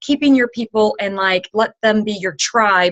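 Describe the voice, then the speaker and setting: At a moderate pace, a woman talks in an animated tone with a fairly high pitch. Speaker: fitness coach team leader. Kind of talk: team conference call talk. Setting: phone conference call. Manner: loud.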